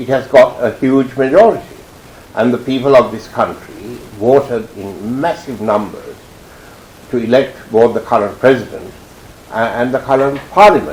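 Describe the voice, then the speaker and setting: A man speaks at a moderate pace with a medium pitch, his loudness swinging widely. He pauses often and at length over noticeable background noise. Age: 70s. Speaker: former politician. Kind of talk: interview.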